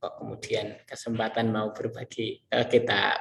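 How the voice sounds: A man's fairly low, fairly bright voice with vocal fry and little pitch movement, at a moderate pace, with audible room echo.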